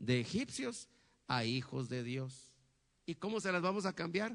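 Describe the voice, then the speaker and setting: A man speaks with an animated tone. His pitch swings very widely. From Guatemala, Huehuetenango (western highlands). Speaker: pastor. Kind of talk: sermon. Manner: animated, frequent rhetorical questions.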